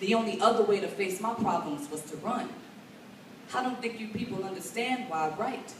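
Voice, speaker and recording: The speaker talks at a moderate pace with an American accent. Noticeable background noise runs underneath. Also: woman. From Chicago. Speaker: slam poet. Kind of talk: slam poetry performance. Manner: smooth.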